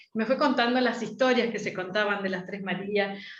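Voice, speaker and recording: Audible room echo around a woman speaking at a fairly high pitch. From Argentina. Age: 60s. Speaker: astrologer. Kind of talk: interview.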